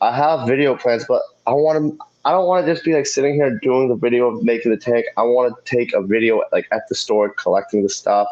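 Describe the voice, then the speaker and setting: A man's fairly high voice, quick-ish in pace, with lively intonation and very even loudness. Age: 30s. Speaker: fish keeping youtuber. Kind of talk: live stream chat. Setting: live stream on phone.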